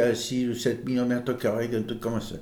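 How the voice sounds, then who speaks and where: A man speaks with audible room echo around him. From Provence, France (Brignoles, Var). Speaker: local resident recounting family history. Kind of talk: oral history interview.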